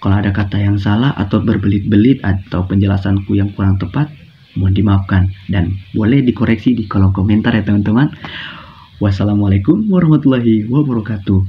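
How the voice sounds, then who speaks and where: Soft-spoken, a man talks at a fairly low pitch with ordinary pitch variation while noticeable background noise sits behind him. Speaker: university student presenting. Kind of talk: classroom guidance presentation. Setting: recorded at home at night.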